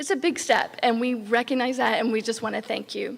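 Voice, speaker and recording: A woman's fairly high, shaky voice moves at a fairly quick pace. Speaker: program staff. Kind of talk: ceremony speech. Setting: graduation ceremony.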